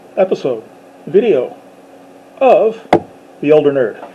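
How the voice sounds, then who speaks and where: A man's very slow speech is heard with noticeable background noise. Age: 50s. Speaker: YouTuber talking about sci-fi. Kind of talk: casual monologue to camera. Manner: hesitant, many fillers.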